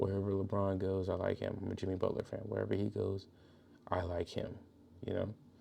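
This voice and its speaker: A man talks quietly at a fairly quick pace with an American accent. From Georgia, US South. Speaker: podcast host. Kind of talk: casual monologue. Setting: at home, son sleeping next room. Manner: quiet, kept low.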